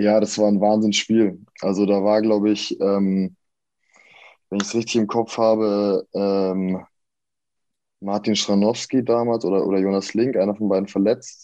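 With a dark, mellow tone and fairly low pitch, a man speaks at a fairly slow pace in a flat monotone, his loudness very even and his pauses long and frequent. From Franconia, Germany (Erlangen). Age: 20s. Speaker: professional handball player. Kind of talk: casual interview. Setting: video call.

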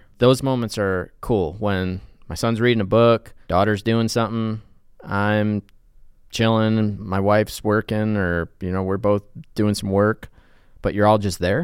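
This man has an unremarkable speaking voice, fairly low in pitch, moving at a fairly slow pace with fairly even intonation. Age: 40s. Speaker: TV news and feature reporter. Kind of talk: casual interview.

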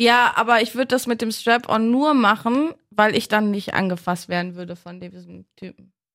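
With a plain, everyday voice, a woman speaks at a moderate pace with ordinary pitch variation and big swings in loudness, on a very clean recording with a silent background. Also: fairly high pitch for a woman. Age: 30s. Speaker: podcast host. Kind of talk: casual chat.

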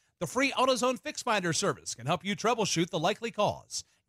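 The man's tone is bright and sharp, his pace fairly quick and his intonation lively, in a dry, close sound with no echo. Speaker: radio host. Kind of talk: radio talk show. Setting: studio.

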